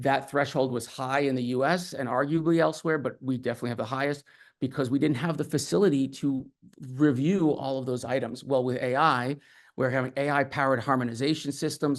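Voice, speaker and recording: The background is quiet as a man speaks at a fairly quick pace. His pitch is medium and his intonation fairly even. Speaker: industry expert panelist. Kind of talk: panel presentation. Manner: fast.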